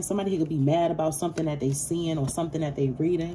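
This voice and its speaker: Somewhat breathy and very fast, a woman speaks over light background noise. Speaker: tarot reader. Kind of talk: casual tarot reading monologue. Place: home room. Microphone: phone near.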